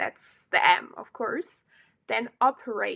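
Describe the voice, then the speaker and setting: On a very clean recording with a silent background, a woman with a non-native accent speaks at a fairly slow pace, her fairly high pitch moving with ordinary variation. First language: not English. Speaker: solo podcaster. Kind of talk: casual monologue. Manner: hesitant, many fillers.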